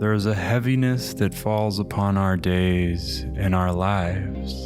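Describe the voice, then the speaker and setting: Over music in the background, a man speaks in a calm tone at a very deep, low pitch with lively intonation. His loudness stays very even and his pace is fairly slow. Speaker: meditation guide. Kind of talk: guided meditation. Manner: slow, calm.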